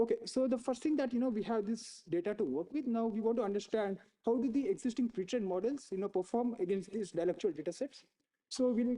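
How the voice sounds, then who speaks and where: The speaker has an Indian accent. The pace is very fast. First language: Tulu. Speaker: researcher presenting hackathon work. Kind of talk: conference presentation. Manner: frequent fillers (you know, uh).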